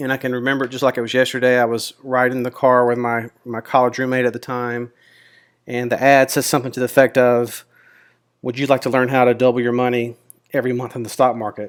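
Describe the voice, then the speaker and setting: A man with a Mississippi accent talks at a very fast pace and a medium pitch. His intonation is monotone and flat, and the recording is very clean with a silent background. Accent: Southern US (Mississippi). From Mississippi, US South. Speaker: options trader and YouTuber. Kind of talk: casual personal introduction to camera. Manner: relaxed, with frequent fillers (um, uh).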